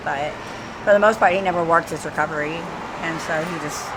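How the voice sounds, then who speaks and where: A woman with an American accent and a fairly low pitch is heard amid noticeable background noise and audible room echo. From Washington DC. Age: 40s. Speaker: homeless woman in recovery. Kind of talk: street interview. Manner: halting.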